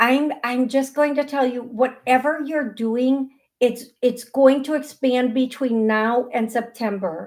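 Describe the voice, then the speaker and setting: This woman has a high pitch and an American accent. She talks at a fairly slow pace with hardly any pauses. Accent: American accent noted by caller. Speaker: psychic medium show host. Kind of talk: live call-in psychic readings. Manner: animated, repetitive.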